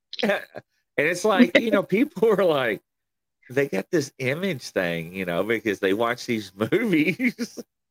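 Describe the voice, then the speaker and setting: With an American accent and vocal fry, a man with a fairly high pitch speaks at a fairly slow pace with very wide pitch swings, in a dry, close sound with no echo. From Kentucky, US. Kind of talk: casual chat.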